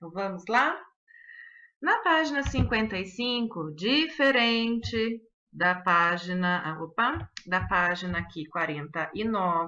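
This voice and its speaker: A woman with a normal speaking voice and lively intonation at a fairly slow pace, against a quiet background. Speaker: schoolteacher. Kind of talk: recorded online lesson.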